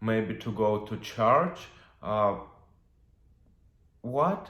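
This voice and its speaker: In a Russian accent, a man speaks at a very slow pace with audible room echo. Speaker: witch and tarot reader. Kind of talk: video monologue. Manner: halting, many fillers.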